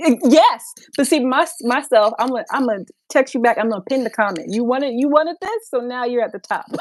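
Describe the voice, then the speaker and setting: Talking at a fairly quick pace, a woman with an American accent and a high pitch uses lively intonation. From New York. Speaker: fashion influencer. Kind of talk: casual chat. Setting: livestream.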